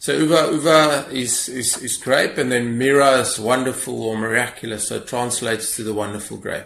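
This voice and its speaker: Amid noticeable background noise and audible room echo, a man talks at a moderate pace and medium pitch with fairly even intonation and hardly any pauses. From South Africa, Free State (Bloemfontein). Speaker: winemaker. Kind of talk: interview. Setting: video call.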